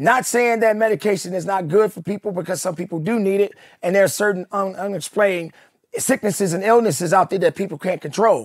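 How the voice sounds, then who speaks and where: High pitch marks this man's voice. He talks at a very fast pace. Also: ordinary pitch variation, dry, close sound with no echo. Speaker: fitness coach, motivational speaker. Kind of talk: motivational speech. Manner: emphatic, forceful.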